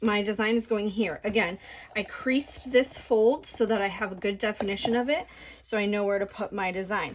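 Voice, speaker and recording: This woman has a normal speaking voice, fairly high in pitch, with ordinary pitch variation and a moderate pace. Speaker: crafting tutorial creator. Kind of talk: tutorial. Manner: casual, filler words.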